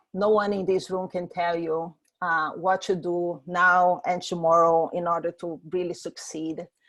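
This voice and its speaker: A woman speaks with a strong Brazilian accent against a quiet background. Her voice is fairly low in pitch. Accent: thick Brazilian Portuguese. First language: Portuguese. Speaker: startup founder. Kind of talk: presentation. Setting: video call from home. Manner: hesitant with fillers.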